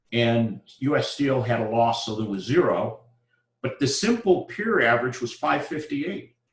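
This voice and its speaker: Audible room echo surrounds a man speaking at a moderate pace. His medium-pitched voice has lively intonation. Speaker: university lecturer. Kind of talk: lecture. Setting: live classroom lecture.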